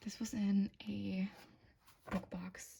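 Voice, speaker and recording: A woman speaks softly. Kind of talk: soft-spoken ASMR bookshelf tour. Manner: soft-spoken.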